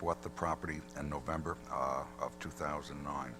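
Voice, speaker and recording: A man speaks quietly at a moderate pace. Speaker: attorney for applicant. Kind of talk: formal presentation at public hearing. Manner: too quiet.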